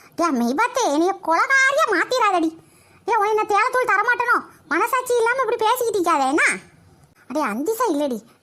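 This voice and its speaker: Putting on a squeaky character voice, a woman talks at a moderate pace with extremely high pitch and very wide pitch swings. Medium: voice reel. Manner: fast, grumbling, exclamatory.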